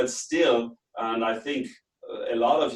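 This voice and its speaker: A man with a German accent speaks at medium pitch with ordinary pitch variation. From Austria. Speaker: business trainer and consultant. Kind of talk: webinar lecture. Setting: online webinar from home office.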